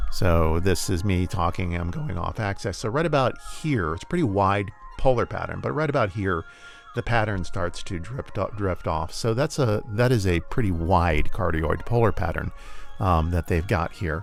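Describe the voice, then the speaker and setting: Music plays in the background as a man speaks at a moderate pace. His fairly low voice has lively intonation. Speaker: tech reviewer / YouTuber. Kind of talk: product review tutorial. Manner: casual, with frequent fillers.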